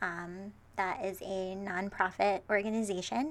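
The woman speaks at a medium pitch with fairly even intonation. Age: 20s. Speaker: podcast co-host. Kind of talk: casual chat.

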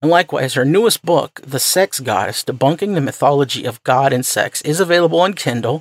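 A man talks at a fairly quick pace with lively intonation. Vocal fry runs through his voice. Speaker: podcast host. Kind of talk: interview.

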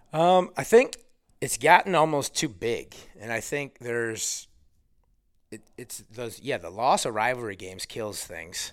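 A man speaks in a normal speaking voice at a fairly slow pace, his medium pitch carried by lively intonation and big swings in loudness, on a very clean recording with a silent background. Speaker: high school basketball coach. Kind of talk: casual interview.

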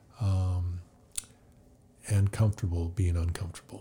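A man with an American accent speaks at a fairly slow pace and fairly low pitch, his tone dark, mellow and somewhat breathy, in a very clean recording with a silent background. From California. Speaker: podcast guest, healthcare professional. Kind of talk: interview, personal faith story. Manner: hesitant, many fillers.

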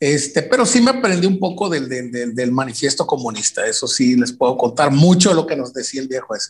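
A man with an ordinary speaking voice, fairly high in pitch, fairly quick, with lively intonation and hardly any pauses. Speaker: rock musician. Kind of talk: casual chat.

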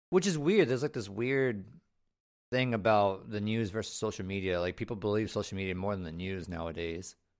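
A man has a normal speaking voice, fairly low in pitch with ordinary pitch variation. The recording is very clean with a silent background. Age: 30s. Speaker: podcast host. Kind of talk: casual chat.

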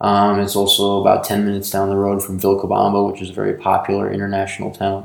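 A man with an American accent, fairly low pitch and monotone, flat intonation, talking at a very fast pace with hardly any pauses. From New York. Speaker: podcast co-host, business co-founder. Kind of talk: casual chat. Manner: hesitant, many fillers.

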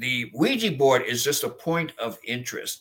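A man's fairly high-pitched voice, an ordinary speaking voice, at a moderate pace. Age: 60s. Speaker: exorcist clergyman. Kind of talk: interview.

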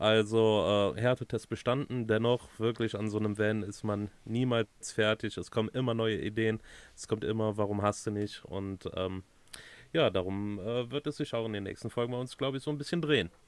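A man talks at a moderate pace in a normal speaking voice. His pitch is fairly low, with ordinary variation. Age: 30s. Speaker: podcast co-host, van converter. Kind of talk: casual chat.

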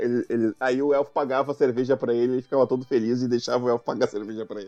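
A man with a medium pitch and a dark, mellow tone speaks at a very fast pace. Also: dry, close sound with no echo. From Rio Grande do Sul, Brazil. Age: 40s. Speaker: podcast host. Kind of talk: casual chat.

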